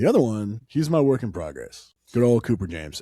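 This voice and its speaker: A man talks fairly quickly with ordinary pitch variation, captured on a very clean recording against a silent background. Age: 30s. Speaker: parenting podcast co-host. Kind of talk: casual chat. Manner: animated.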